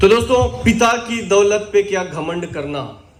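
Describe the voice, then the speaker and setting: Audible room echo surrounds the speaker. He is a man with an animated tone. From Ballari, Karnataka, South India. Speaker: network marketing motivational speaker. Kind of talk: motivational seminar talk. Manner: animated, interactive with audience.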